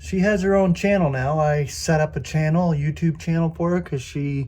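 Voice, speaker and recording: Speaking at a fairly slow pace, a man has a somewhat breathy voice, a dark, mellow tone and ordinary pitch variation. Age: 60s. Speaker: Bible teacher, YouTuber. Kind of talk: casual Bible word study. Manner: casual, halting with fillers.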